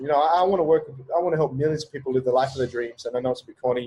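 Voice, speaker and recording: The voice is somewhat breathy. It carries an Australian accent. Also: man. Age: 30s. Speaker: entrepreneur and business coach. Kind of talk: podcast interview. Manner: fast; animated.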